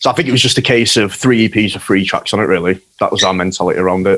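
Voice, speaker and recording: A man with a Yorkshire accent talks at a very fast pace. His intonation is fairly even. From Yorkshire, northern England. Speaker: hardcore band guitarist. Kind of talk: casual chat.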